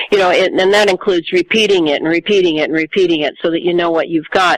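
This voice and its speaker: Noticeable background noise in a dry, close sound with no echo. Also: woman. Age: 60s. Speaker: author and researcher. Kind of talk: interview. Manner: halting.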